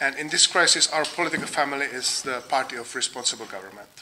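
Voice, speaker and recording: A man with a Czech accent talks fairly quickly at a fairly high pitch, with noticeable background noise. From Czech Republic. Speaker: think tank researcher. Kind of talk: lecture. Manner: halting, many fillers.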